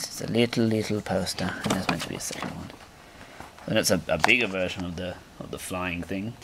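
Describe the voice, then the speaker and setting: A man's very fast speech with fairly even intonation and big swings in loudness, amid loud background noise. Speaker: gaming YouTuber. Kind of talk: unboxing video. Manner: rambling, jokey. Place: home room. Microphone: camera far.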